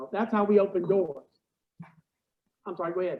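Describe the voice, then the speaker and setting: The speaker is a man. His pitch is high. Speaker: service dog recipient. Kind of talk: Q&A at club meeting. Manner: halting.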